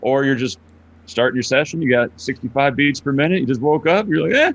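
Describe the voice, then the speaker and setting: Talking at a very fast pace, the man keeps his loudness very even. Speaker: online poker pro. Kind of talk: casual interview chat. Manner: monotone.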